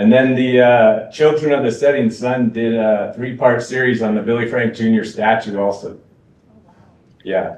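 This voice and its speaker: A man with an unremarkable speaking voice talks at a fairly slow pace, with medium pitch and fairly even intonation. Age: 40s. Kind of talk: Q&A discussion. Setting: college event with live and online audience.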